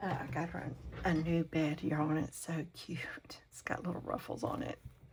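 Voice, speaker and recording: A woman is whispering. Her pace is moderate. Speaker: crafting channel host. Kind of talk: casual craft tutorial talk. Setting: home, talking to camera. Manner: hesitant, with many fillers.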